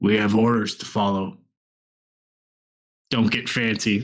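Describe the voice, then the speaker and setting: A man puts on a character voice that is raspy and fairly low, speaking at a fairly slow pace in monotone, flat intonation. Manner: gruff.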